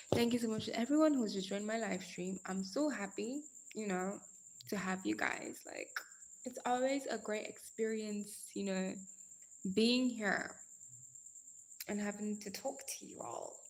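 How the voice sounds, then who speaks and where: The woman speaks fairly high and somewhat breathy, with ordinary pitch variation. She goes at a fairly slow pace with long, frequent pauses. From Nigeria. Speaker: live streamer. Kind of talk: casual chat. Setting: live stream. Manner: animated.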